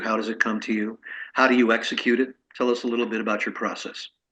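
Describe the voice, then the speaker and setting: Against a quiet background, a man with a bright, sharp tone speaks at a fairly quick pace and medium pitch in a monotone, flat intonation. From Italian heritage. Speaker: podcast host, interviewer. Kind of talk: interview.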